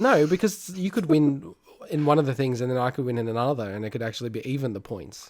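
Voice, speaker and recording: Speaking very fast, a man uses lively intonation at a medium pitch. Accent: Australian. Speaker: gaming podcast co-host. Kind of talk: casual chat.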